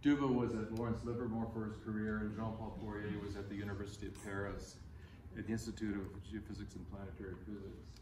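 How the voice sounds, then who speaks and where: Over noticeable background noise and audible room echo, a man with a fairly low pitch talks at a fairly quick pace in fairly even intonation. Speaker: conference presenter. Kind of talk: memorial talk with slides. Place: hall.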